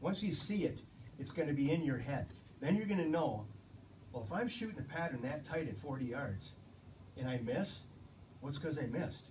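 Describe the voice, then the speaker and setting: Over noticeable background noise and audible room echo, a man with a fairly high pitch and lively intonation talks at a fairly quick pace, broken by long, frequent pauses. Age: 60s. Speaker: ammunition company guest. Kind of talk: casual interview chat.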